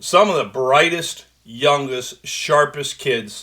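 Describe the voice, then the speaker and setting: The man's voice is fairly high-pitched and has a bright, sharp tone. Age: 60s. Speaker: sports radio host. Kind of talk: sports talk radio monologue.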